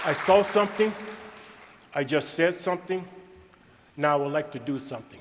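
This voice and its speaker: Over noticeable background noise, a man talks at a fairly quick pace but with long, frequent pauses. His voice is fairly high, with ordinary pitch variation. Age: 70s. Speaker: award recipient and philanthropist. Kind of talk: award acceptance speech. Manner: emphatic, repetitive.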